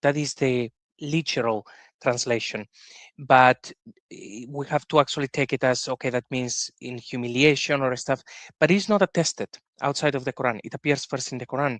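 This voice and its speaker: A man speaks with a Spanish accent at a medium pitch with ordinary variation. His loudness swings widely in a dry, close sound with no echo. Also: moderate pace, quiet background. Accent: Spanish accent, often heard as Italian. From Spain. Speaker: podcast host. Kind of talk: interview discussion.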